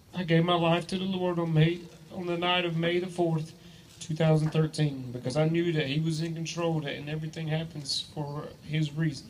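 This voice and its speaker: With an Appalachian accent, a man speaks in a flat monotone at a fairly high pitch and a moderate pace. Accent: Southern US, Appalachian. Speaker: teacher and sports coach. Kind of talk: testimony. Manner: reading from a script, halting with fillers.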